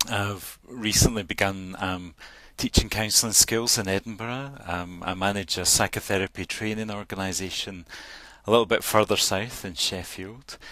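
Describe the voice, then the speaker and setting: This man's voice sits fairly low, with a bright, sharp tone. He talks at a moderate pace with fairly even intonation. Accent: Scottish. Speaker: counsellor and association chair. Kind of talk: panel introduction in online town hall. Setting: virtual meeting.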